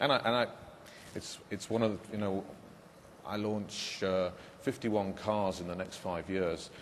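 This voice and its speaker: Speaking at a moderate pace with long, frequent pauses, a man with a British accent keeps a fairly even intonation in a fairly low voice, with audible room echo. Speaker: car company executive. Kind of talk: panel discussion. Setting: conference stage, webcast. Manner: halting, many fillers.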